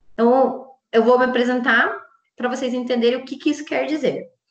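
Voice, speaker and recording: A woman's high voice with a strong Curitiba accent. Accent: strong Curitiba accent, marked E. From Brazil, Curitiba. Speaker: psychologist and logotherapist. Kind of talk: interview conversation. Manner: casual with many fillers.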